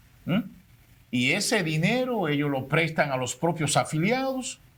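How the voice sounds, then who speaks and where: In a plain, everyday voice, a man with a fairly high pitch speaks at a fairly slow pace with lively intonation. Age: 60s. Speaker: public servant. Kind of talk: panel discussion.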